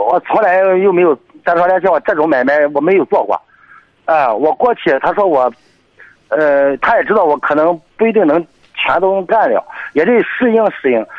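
With very even loudness, a man speaks at a high pitch and moderate pace, using lively intonation and long, frequent pauses. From Jinan, Shandong. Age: 40s. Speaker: taxi driver. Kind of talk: call-in advice chat. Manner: halting, many fillers.

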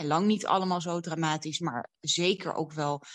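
In a very clean recording with a silent background, a woman uses an ordinary speaking voice at a moderate pace with ordinary pitch variation. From Netherlands, Amsterdam. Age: 30s. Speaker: public speaker and writer. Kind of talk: interview. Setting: at home.

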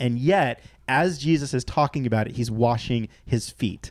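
This is a man with a normal speaking voice. His pitch is medium with ordinary variation. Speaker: podcast guest, former rock musician. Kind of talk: casual chat about faith.

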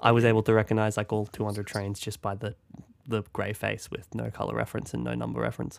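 A man with an Australian accent at a very fast pace, in a very clean recording with a silent background. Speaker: podcast co-host. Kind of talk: casual chat.

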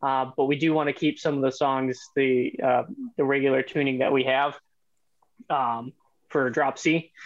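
A man with an American accent speaks in a monotone, flat intonation at very even loudness, with long, frequent pauses. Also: medium pitch for a man, moderate pace. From Yorkville, Illinois. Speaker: band guitarist. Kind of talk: casual interview.

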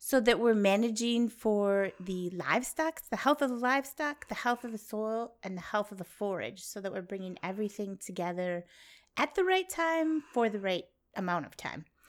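A woman with a plain, everyday voice and fairly high pitch speaks at a moderate pace, her intonation lively and her loudness swinging widely. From Wisconsin. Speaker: farmer and grazing educator. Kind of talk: interview. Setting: at her farmhouse.

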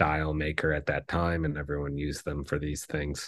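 A man speaks with a very deep, low pitch in a monotone, flat delivery. The background is quiet. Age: 30s. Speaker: vintage watch dealer. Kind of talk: casual interview.

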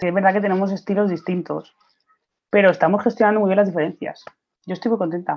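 With fairly even intonation and a medium pitch, a woman talks at a very fast pace. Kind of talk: interview.

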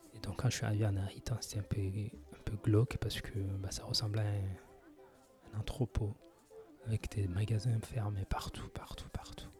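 Over noticeable background noise, a man speaks at a fairly slow pace. His fairly low pitch follows a fairly even intonation. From France. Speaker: podcaster. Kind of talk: casual monologue. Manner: halting, many hesitations.

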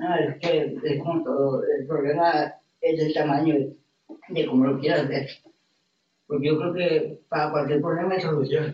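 This man has an ordinary speaking voice, fairly high in pitch, and he talks at a fairly slow pace. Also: fairly even intonation. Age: 20s. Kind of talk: casual interview chat.

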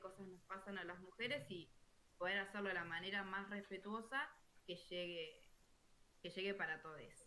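Here the tone is bright and sharp with fairly even intonation. Delivery moves at a moderate pace. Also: woman. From Argentina, small town. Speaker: podcast co-host. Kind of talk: live-streamed panel discussion.

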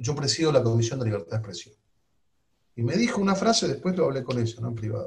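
This man's voice is somewhat breathy and sits at a medium pitch. He talks at a very fast pace. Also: lively intonation. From Argentina. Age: 50s. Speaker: politician. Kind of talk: interview.

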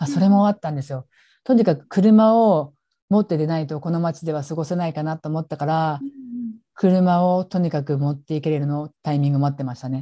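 A woman's very deep, low voice, dark and mellow in tone, with ordinary pitch variation, a fairly quick pace, a dry, close sound with no echo and a quiet background. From Japan, Gifu. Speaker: support worker for abuse survivors. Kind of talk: interview testimony. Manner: hesitant, many fillers.

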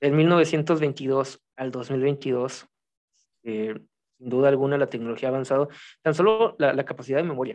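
A man's unremarkable speaking voice, fairly high in pitch, with ordinary pitch variation at a moderate pace. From Mexico. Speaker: writer. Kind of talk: casual chat.

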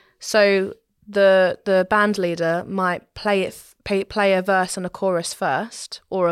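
A woman speaks with a southern English accent at a medium pitch, her intonation fairly even, on a very clean recording with a silent background. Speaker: trained singer. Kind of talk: casual chat.

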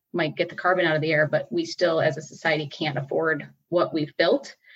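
A woman with an American accent speaks at a fairly quick pace in a normal speaking voice, her pitch fairly low and its variation ordinary. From US Midwest, Batavia, Illinois. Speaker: city council member. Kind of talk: interview.

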